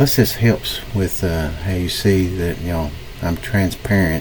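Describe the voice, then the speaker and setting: A man with an American accent speaks at a very deep, low pitch with ordinary pitch variation over noticeable background noise. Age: 60s. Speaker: forex trader. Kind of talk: live-stream trading commentary. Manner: casual, thinking aloud.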